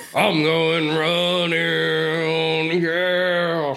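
The speaker uses a put-on character voice. Clear background noise is present. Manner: mocking, slurred.

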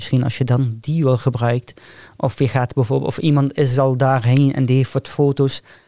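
This man talks at a moderate pace in a medium pitch, his intonation monotone and flat and his loudness very even. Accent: Arabic. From northern Syria, Raqqa. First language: Arabic (speaking Dutch). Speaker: hospital care worker and aspiring medical student. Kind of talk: podcast interview.

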